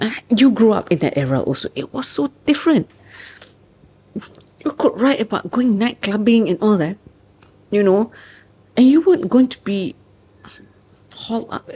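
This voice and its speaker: An animated, passionate woman's voice with a Malaysian accent, fairly high in pitch, at a moderate pace. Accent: Malaysian English with local particles. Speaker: author and researcher. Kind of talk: interview answer. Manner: chatty, animated, passionate.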